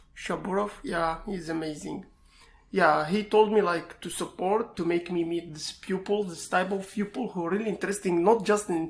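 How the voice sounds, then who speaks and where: At a moderate pace, this speaker talks in an Iraqi accent with ordinary pitch variation. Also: man. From Iraq, Baghdad. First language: Arabic. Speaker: information security student and pentester. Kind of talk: interview. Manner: halting.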